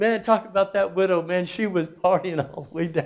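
A man talks at a moderate pace. His tone is animated. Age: 60s. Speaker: pastor. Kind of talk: sermon. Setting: church.

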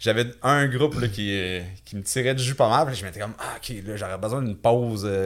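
An unremarkable speaking voice from a man, medium in pitch with ordinary variation, moves at a fairly quick pace. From Quebec, Victoriaville. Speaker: physical education teacher and survivor. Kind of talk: interview testimony. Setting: studio, in person.

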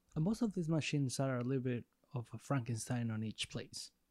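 A man with a Spanish accent speaks at a moderate pace, recorded with a dry, close sound and no echo. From Mexico. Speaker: podcast co-host. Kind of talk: casual interview.

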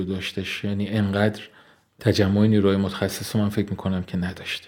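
Flat and monotone, a man's dark, mellow voice sits fairly low in pitch and keeps a moderate pace. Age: 40s. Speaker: engineer at an engineering consultancy. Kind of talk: interview. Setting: studio. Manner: formal.

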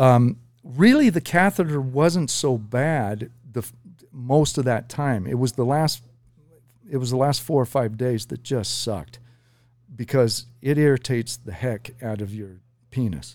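Medium pitch and ordinary pitch variation from a man in an unremarkable speaking voice. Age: 50s. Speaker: prostate cancer survivor. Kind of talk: casual chat. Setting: studio.

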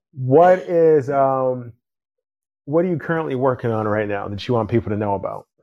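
An unremarkable speaking voice with an American accent, lively intonation and a moderate pace. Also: man, medium pitch for a man. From Chicago area, US Midwest. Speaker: podcast host. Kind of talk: casual interview.

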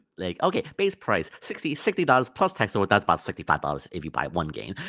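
A man's bright, sharp tone, with very wide pitch swings, at a fairly slow pace. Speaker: podcast co-host. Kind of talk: casual chat.

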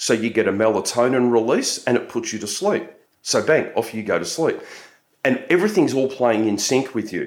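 An Australian-accented man talks at a moderate pace and a medium pitch, his intonation lively. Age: 50s. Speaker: nutritionist and police officer, shift work educator. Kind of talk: interview. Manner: frequent filler words.

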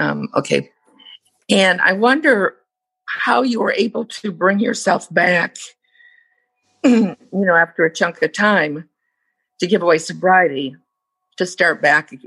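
A woman with an American accent speaks at a fairly slow pace with long, frequent pauses. Her tone is bright and sharp with vocal fry, in a dry, close sound with no echo. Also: medium pitch for a woman, lively intonation. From United States. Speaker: meeting participant. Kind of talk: casual chat. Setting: video call.

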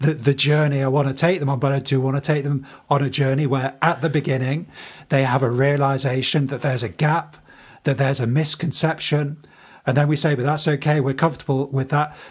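A man talks at a fairly quick pace in a fairly high, somewhat breathy voice with monotone, flat intonation, recorded very cleanly against a silent background. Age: 30s. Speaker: teacher and podcast co-host. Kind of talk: casual chat.

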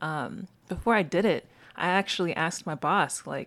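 A woman with a slight Southern US accent talks in a fairly low voice with lively intonation. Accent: general American, little Southern. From US South. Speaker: podcast co-host and scientist. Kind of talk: casual chat. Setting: video call.

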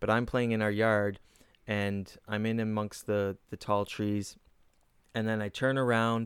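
In a plain, everyday voice, a man with a Canadian accent talks at medium pitch and a fairly slow pace, on a very clean recording with a silent background. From Kitchener, Ontario, Canada. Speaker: comedian and podcast host. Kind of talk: casual chat.

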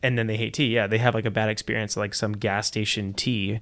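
The recording is very clean, and the background is silent. In it, a man speaks very fast. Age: 30s. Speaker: podcast host and startup founder. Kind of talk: interview.

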